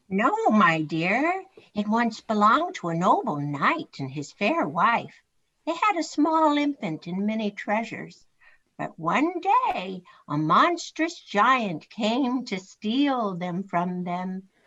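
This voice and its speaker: A put-on character voice unfolds at a fairly slow pace. Its pitch swings very widely. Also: woman, fairly high pitch for a woman. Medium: stage play. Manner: gentle, solemn.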